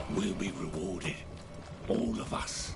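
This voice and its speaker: Doing a put-on character voice, a man speaks at a fairly slow pace over loud background noise. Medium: machinima.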